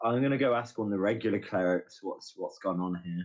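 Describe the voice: A low-pitched man talks at a fairly quick pace with ordinary pitch variation.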